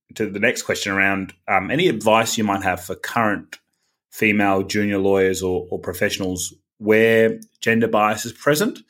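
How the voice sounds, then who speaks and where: A man with a plain, everyday voice speaks at a fairly low pitch and moderate pace in a very clean recording with a silent background. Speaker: podcast host. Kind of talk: interview conversation.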